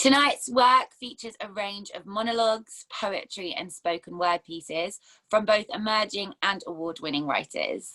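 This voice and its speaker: Talking at a moderate pace with hardly any pauses, a woman uses a fairly high pitch with ordinary variation and big swings in loudness. Her tone is bright and sharp, and the sound is dry and close with no echo. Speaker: theatre host and performer. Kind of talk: host introduction of online theatre event.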